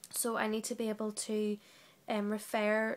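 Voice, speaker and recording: Speaking at a fairly slow pace, a woman with a British accent has a fairly high pitch. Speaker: trainee teacher. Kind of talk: reflective monologue.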